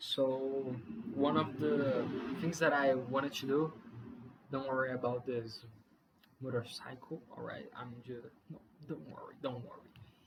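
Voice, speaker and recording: With a non-native accent and a medium pitch, a man talks at a fairly slow pace with long, frequent pauses, ordinary pitch variation and big swings in loudness, all over noticeable background noise. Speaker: beginner YouTuber. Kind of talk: casual vlog monologue. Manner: halting, many fillers and restarts.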